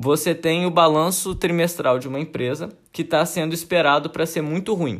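A man speaks in a normal speaking voice, pitched fairly high. His pace is moderate and his pitch varies in an ordinary way. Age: 20s. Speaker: podcast host, AI student. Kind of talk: educational monologue. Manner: casual.

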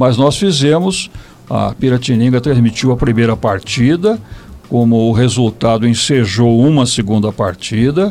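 Over noticeable background noise, a man speaks at a fairly slow pace and medium pitch, with ordinary pitch variation and very even loudness. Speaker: retired radio broadcaster. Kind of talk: interview. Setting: recorded internet radio show.

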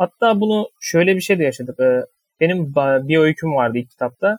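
This man talks at a fairly quick pace, his pitch fairly high. The sound is dry and close, with no echo. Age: 20s. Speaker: fiction writer. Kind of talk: interview. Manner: hesitant with fillers.

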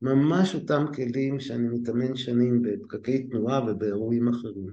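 Audible room echo surrounds a man speaking at a fairly slow pace in a dark, mellow tone. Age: 60s. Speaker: lecturer in education management, former scientist. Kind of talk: interview conversation.

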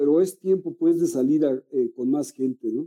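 A man's dark, mellow voice with a Mexican accent, a moderate pace, fairly even intonation and a dry, close sound with no echo. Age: 50s. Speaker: meditation guide. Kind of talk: casual chat. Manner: halting.

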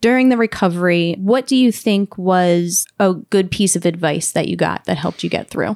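A woman with an ordinary speaking voice talks at a moderate pace and medium pitch, with ordinary pitch variation, hardly any pauses and a dry, close sound with no echo. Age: 30s. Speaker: podcast host. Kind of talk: interview.

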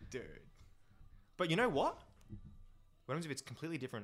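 This is a man speaking with an Australian accent. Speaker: podcast guest. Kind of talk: casual chat.

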